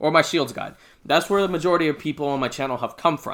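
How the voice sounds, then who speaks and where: Speaking at a very fast pace, a man with a bright, sharp tone and ordinary pitch variation is heard on a very clean recording with a silent background. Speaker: gaming YouTuber. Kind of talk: video commentary. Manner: stutters sometimes; hesitant, many fillers.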